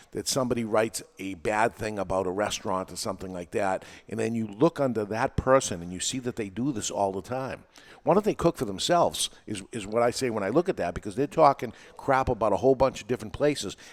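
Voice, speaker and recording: On a very clean recording with a silent background and a dry, close sound with no echo, a man with a New England accent and a medium pitch talks at a very fast pace. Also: ordinary pitch variation. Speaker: podcast host and teacher. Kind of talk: casual chat. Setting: studio with live audience.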